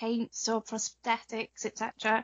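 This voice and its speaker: This woman's voice is fairly high-pitched. She has a British accent. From Wales. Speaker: cosplayer. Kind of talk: interview.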